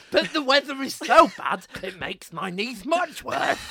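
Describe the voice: A man shouts in a put-on character voice at an extremely high pitch. His voice sounds strained. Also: moderate pace.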